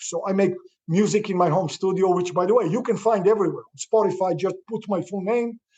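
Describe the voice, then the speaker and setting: An enthusiastic man with a non-native accent, high-pitched and fairly quick, with ordinary pitch variation. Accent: foreign. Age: 60s. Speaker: real estate investor. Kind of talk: interview.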